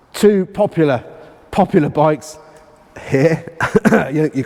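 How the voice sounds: A man puts on a character voice that is raspy and hoarse, pitched fairly high. He talks at a fairly slow pace with ordinary pitch variation.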